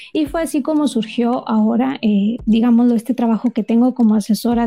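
With hardly any pauses and very even loudness, a woman with a fairly high pitch talks at a fairly quick pace with ordinary pitch variation. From Mexico, Monterrey. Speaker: mentor for creative entrepreneurs. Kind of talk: interview. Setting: remote call.

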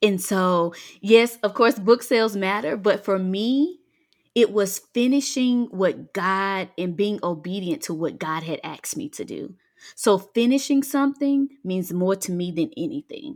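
With a Southern US accent, a woman speaks at a fairly slow pace with lively intonation on a very clean recording with a silent background. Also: medium pitch for a woman. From US South, Mississippi Delta. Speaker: freedom coach and author. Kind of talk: faith-based podcast interview.

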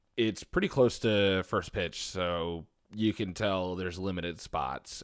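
Fairly low-pitched man with a Philadelphia accent at a fairly slow pace, on a very clean recording with a silent background. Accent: Philadelphia-area (Delco) American. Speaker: podcast co-host. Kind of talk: casual chat.

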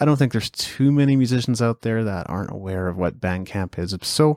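Talking at a moderate pace with lively intonation, a man with a plain, everyday voice and a Canadian accent is heard on a very clean recording with a silent background and a dry, close sound with no echo. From Canada. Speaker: podcast host. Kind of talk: solo podcast update, scripted-casual monologue. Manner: conversational, informal.

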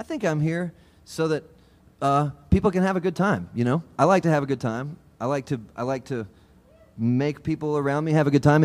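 At a fairly quick pace, a man uses an ordinary speaking voice with lively intonation. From US South, Georgia. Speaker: banjo player. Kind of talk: casual chat. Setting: stage with audience.

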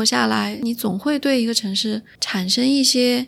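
A woman with a high pitch delivers her words at a fairly slow pace. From Chengdu, Sichuan. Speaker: podcast host. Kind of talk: casual chat. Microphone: new microphone.

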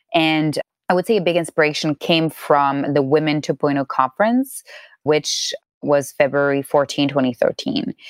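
In a French accent, a woman with a very deep, low voice speaks at a moderate pace with ordinary pitch variation and very even loudness, the sound dry and close with no echo. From France. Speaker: documentary filmmaker. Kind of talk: interview.

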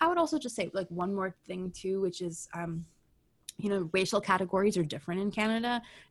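Here a woman has an unremarkable speaking voice. Her pitch is medium, with ordinary variation. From United States, Iranian immigrant parents. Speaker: sociology professor. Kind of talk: interview conversation. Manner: casual with many fillers.

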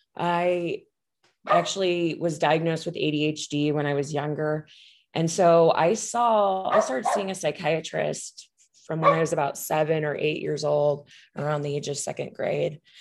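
An ordinary speaking voice from a woman, fairly low in pitch, with fairly even intonation and a moderate pace. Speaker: psychiatry resident. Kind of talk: casual interview conversation.

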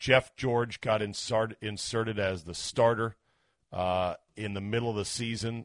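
Against a quiet background, with a dry, close sound and no echo, a man with an unremarkable speaking voice talks fairly slowly at a fairly low pitch with fairly even intonation. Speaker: sports radio host. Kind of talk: sports radio talk show. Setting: radio studio.

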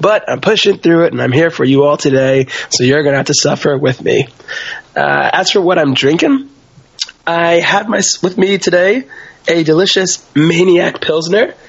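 This man's voice sits high for a man and moves with lively intonation. He keeps a moderate pace over noticeable background noise. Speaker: podcast co-host. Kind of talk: casual chat.

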